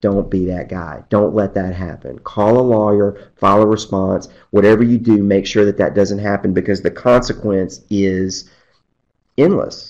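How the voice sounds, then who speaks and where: A man speaks in a normal speaking voice, fairly low in pitch, with fairly even intonation at a moderate pace. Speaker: attorney. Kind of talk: webcast presentation.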